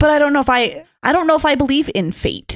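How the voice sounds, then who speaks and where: A woman speaks at a high pitch with an American accent. The sound is dry and close, with no echo. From US. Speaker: pastor and podcast co-host. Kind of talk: casual roundtable chat about faith.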